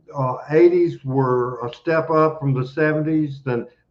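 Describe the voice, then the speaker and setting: The speaker has a Memphis accent and a fairly slow pace. Intonation stays fairly even. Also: man. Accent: Southern US (Memphis). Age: 60s. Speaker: wrestling promoter. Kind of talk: podcast interview.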